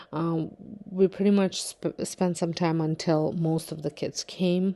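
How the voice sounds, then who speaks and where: Against a quiet background, a woman speaks in a very deep, low pitch with a dark, mellow tone and fairly even intonation. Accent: non-native. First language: not English. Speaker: home daycare provider and vlogger. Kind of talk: vlog narration. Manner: casual, with many fillers.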